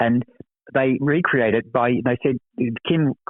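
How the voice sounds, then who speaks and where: With an Australian accent, a man speaks at medium pitch. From Australia, Sydney. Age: 70s. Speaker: actor. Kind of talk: interview. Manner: halting, frequent repetitions.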